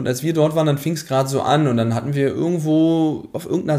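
Dark, mellow tone in a fairly high male voice. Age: 30s. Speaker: former railway employee who took a career break to travel. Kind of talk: interview.

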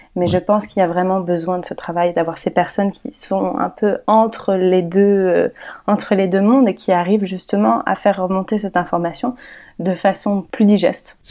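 The tone is dark and mellow. A woman is speaking, her pitch medium. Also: ordinary pitch variation, moderate pace. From France (Paris). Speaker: environmental communicator and documentary maker. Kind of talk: interview conversation. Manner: hesitant, frequent fillers.

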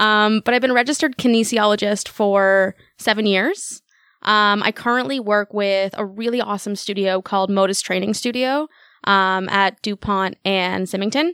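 A woman with a Canadian accent speaks at a moderate pace and medium pitch, using ordinary pitch variation. The sound is dry and close with no echo. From Toronto, Canada. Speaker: kinesiologist. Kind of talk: podcast interview. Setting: studio. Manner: mumbling.

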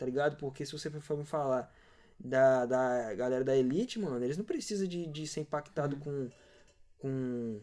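This man has a fairly high voice with a dark, mellow tone, ordinary pitch variation and a moderate pace. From Cariacica, Espírito Santo, Brazil. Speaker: graffiti artist. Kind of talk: casual chat.

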